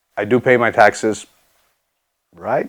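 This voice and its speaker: Someone whispers at a fairly slow pace. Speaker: fitness coach and science educator. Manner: whispering jokingly.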